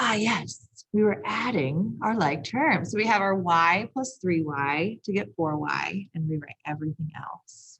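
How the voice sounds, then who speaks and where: With vocal fry and a fairly low pitch, a woman speaks fairly slowly using lively intonation. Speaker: math teacher. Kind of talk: lecture.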